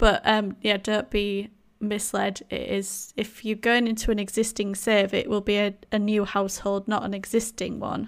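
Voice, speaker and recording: On a very clean recording with a silent background, a woman speaks with a strong Yorkshire accent at a fairly high pitch. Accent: thick Yorkshire English. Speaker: podcast co-host, Sims video creator. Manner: chatty, casual.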